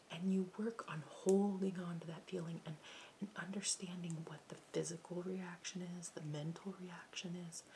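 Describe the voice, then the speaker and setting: The speaker is soft-spoken and keeps a moderate pace. There is noticeable background noise. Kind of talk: soft-spoken talk to camera about meditation.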